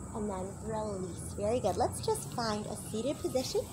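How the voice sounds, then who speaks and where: A woman speaks over noticeable background noise. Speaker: fitness instructor. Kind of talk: workout instruction.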